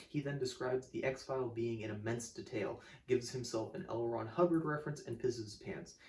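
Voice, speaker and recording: A man talks at medium pitch while background noise is noticeable. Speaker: music video essayist. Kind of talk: scripted video essay. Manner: casual, animated; occasional stutter.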